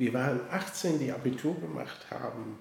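Audible room echo surrounds a man speaking at a medium pitch. He talks at a fairly slow pace with lively intonation. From western Germany, Koblenz. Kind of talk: interview. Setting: office, face to face. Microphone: mobile studio, poorer sound quality.

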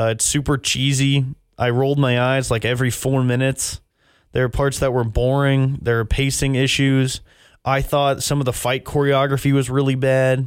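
A man with an American accent, medium pitch, and monotone, flat intonation. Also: moderate pace, very clean recording, silent background. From Texas. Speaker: podcast host and movie reviewer. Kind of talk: casual chat.

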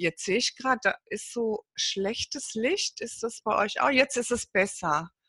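A woman speaks at a fairly slow pace with lively intonation. The sound is dry and close with no echo, over a quiet background. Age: 50s. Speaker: network marketing entrepreneur. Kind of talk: interview.

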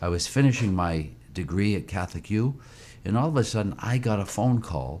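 An American-accented man talks at a moderate pace, with vocal fry and lively intonation. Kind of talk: interview.

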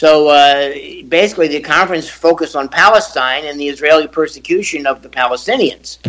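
A man talks at a fairly quick pace with a fairly high pitch. He has a plain, everyday voice and ordinary pitch variation. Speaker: attorney and former diplomat. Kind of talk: radio panel debate.

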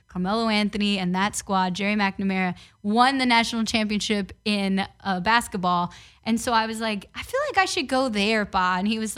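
Energetic and animated, a woman speaks with a New York accent in a bright, sharp tone at medium pitch and moderate pace. Her pitch varies in an ordinary way, and the recording is very clean with a silent background. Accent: New York (Bronx). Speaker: sports reporter. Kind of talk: casual interview. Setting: studio. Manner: energetic, animated.

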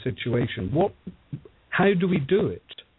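With a British accent, a man speaks with lively intonation. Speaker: political panelist. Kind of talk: radio panel discussion.

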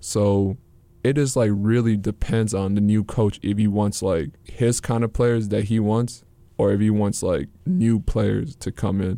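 An unremarkable speaking voice with an American accent, ordinary pitch variation and a fairly slow pace. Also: man, fairly low pitch for a man. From US Midwest, Saint Paul, Minnesota. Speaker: college student athlete. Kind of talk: interview. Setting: studio.

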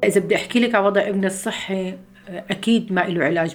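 The voice carries a Syrian accent and fairly even intonation. The pace is moderate. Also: woman. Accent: Syrian Levantine Arabic (Homs). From Syria, Homs. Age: 50s. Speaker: refugee mother. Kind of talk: testimony.

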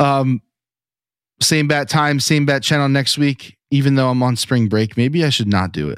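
Spoken with an American accent at a moderate pace and ordinary pitch variation, the clip is a very clean recording with a silent background. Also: man, fairly high pitch for a man. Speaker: sports podcast co-host. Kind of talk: casual chat. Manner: loud.

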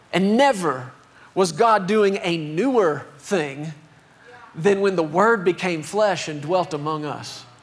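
Over noticeable background noise, a man with a high pitch speaks at a very slow pace with ordinary pitch variation. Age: 40s. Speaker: pastor. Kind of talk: sermon. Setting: church. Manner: animated.

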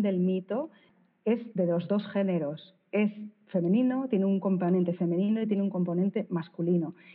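Delivered at a fairly quick pace, an ordinary speaking voice carries ordinary pitch variation and very even loudness. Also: woman. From Spain, Bilbao (Basque Country). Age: 40s. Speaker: art curator and critic. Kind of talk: interview conversation.

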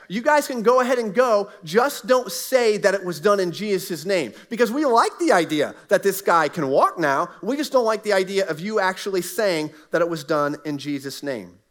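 A man with an American accent speaks in a high voice, with lively intonation and an animated tone. He barely pauses while music plays in the background. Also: moderate pace. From US South, Southwest Florida. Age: 40s. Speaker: pastor. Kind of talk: sermon. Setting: church.

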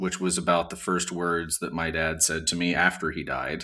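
A man with a Southern US accent, a very deep, low pitch, and a bright, sharp tone. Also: very clean recording, silent background. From US South, Montgomery, Alabama. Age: 40s. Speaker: musician and podcast editor. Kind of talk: casual chat.

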